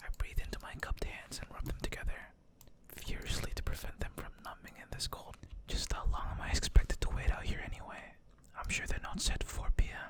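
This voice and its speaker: Someone whispers at a fairly quick pace. Background noise is noticeable. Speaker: vtuber ASMR gaming streamer. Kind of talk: visual novel reading, ASMR. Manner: whispered, soft-spoken.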